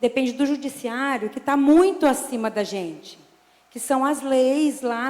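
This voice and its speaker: Noticeable background noise sits behind a woman's voice. She speaks at a high pitch and a fairly slow pace. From interior of São Paulo state, Brazil. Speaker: military police sergeant. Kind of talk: public hearing statement. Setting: city council public hearing. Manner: informal, conversational.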